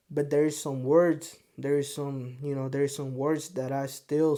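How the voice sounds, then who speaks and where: A man with a Spanish accent, dark, mellow tone and fairly high pitch, monotone and flat, at a fairly slow pace. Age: 20s. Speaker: podcast host. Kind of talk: casual monologue to camera.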